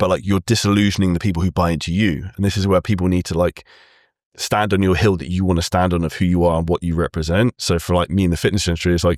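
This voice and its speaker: With a British accent and a very deep, low voice, a man speaks very fast in an energetic tone, the sound dry and close with no echo. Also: very clean recording, silent background. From UK. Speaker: fitness entrepreneur. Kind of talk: casual interview chat.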